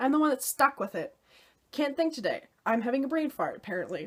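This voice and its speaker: High female voice with lively intonation. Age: 20s. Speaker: vlogger and fiddler. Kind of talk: casual vlog talk to camera; rant. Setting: self-filmed at home, holding camera. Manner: animated.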